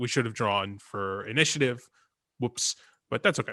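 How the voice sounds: A man speaks at a moderate pace and medium pitch, his tone bright and sharp, with ordinary pitch variation.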